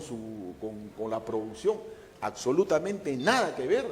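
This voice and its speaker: A man talking at a fairly slow pace amid noticeable background noise. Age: 70s. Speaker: historian. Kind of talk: interview. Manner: halting.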